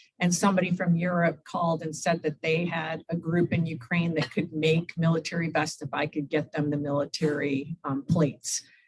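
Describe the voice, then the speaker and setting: A woman's somewhat breathy, monotone voice with flat intonation and hardly any pauses. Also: moderate pace. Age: 60s. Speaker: humanitarian aid volunteer. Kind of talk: Q&A after a club talk. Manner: conversational, with fillers.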